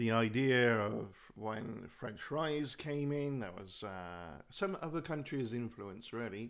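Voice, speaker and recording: Very slow in pace yet with hardly any pauses, a man speaks at a medium pitch with lively intonation. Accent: British. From UK. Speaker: YouTuber. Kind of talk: live stream monologue. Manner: rambling with fillers.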